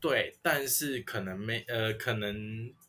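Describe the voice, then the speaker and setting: A man's bright, sharp-toned voice. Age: 20s. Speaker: podcaster, college student. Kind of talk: casual chat.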